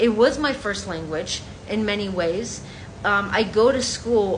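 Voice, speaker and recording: A woman with an American accent and ordinary pitch variation is heard with audible room echo and noticeable background noise. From New York, Colombian family. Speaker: content creator. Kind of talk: vlog monologue. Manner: animated.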